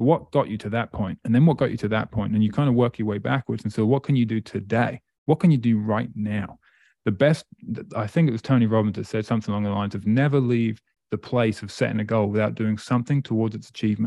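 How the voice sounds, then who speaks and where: Very fast speech from a man in an East Anglian accent, medium pitch with ordinary variation and a dark, mellow tone, dry and close with no echo over a quiet background. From England, Great Yarmouth. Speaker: motivational speaker. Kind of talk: interview.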